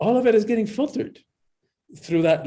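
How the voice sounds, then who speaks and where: A man's dark, mellow tone with lively intonation. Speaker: empowerment coach and author. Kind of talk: interview. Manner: animated.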